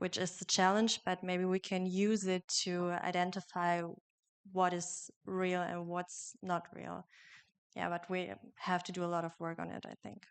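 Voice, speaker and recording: In a German accent, a woman with a fairly low pitch speaks fairly slowly and in a monotone, flat way against a quiet background. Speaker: journalism student. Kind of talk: panel discussion.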